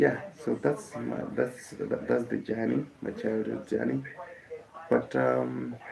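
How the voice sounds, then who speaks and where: A man speaks in a Kenyan accent at a very slow pace. Background noise is noticeable. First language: Kikuyu. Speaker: musician. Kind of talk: casual live stream talk. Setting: live stream. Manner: halting, many fillers.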